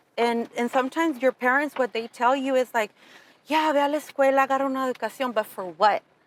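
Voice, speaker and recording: A woman talks at a very fast pace in a high pitch. She speaks with a Spanish accent. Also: dry, close sound with no echo. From Southern California (Pomona, Fontana), born in Mexico. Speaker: entrepreneur, insurance agency owner. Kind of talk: interview conversation.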